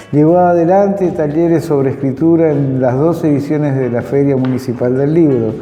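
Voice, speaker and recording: A man talks at a fairly slow pace with fairly even intonation. Audible room echo and noticeable background noise fill the recording. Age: 60s. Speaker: teacher and program host. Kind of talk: scripted program introduction. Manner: formal.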